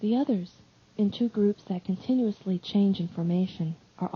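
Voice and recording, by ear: The voice reading aloud sounds natural. Its pitch moves in an ordinary way.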